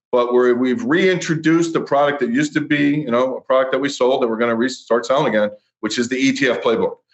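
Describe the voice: A man speaks at a fast pace with medium pitch. His intonation is fairly even.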